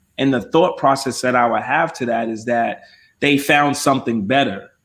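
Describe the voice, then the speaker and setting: At a moderate pace and medium pitch, a man talks in an ordinary speaking voice. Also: ordinary pitch variation, very clean recording, silent background. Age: 30s. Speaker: podcast co-host. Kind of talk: casual chat.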